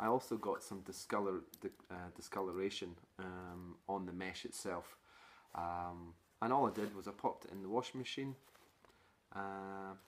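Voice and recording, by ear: The man's voice sits at a low pitch. His intonation is fairly even, and his pace is moderate.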